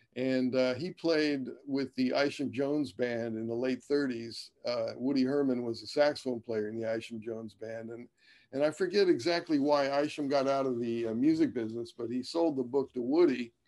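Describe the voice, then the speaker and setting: A man's medium-pitched voice with a dark, mellow tone, ordinary pitch variation, a moderate pace and hardly any pauses. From US Midwest (Dayton, Ohio). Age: 60s. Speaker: jazz trumpeter. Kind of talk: interview. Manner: halting, many fillers.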